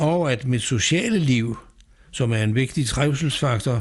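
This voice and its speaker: With lively intonation and a somewhat breathy quality, a man talks at a medium pitch. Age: 80s+. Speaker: patient advocate. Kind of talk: scripted narration. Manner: formal.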